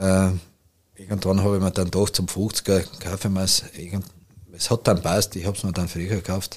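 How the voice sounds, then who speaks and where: Long, frequent pauses, a moderate pace, and a monotone, flat intonation. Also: man, very deep, low pitch for a man. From Austria, eastern Styria. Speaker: cattle farmer. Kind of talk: casual interview.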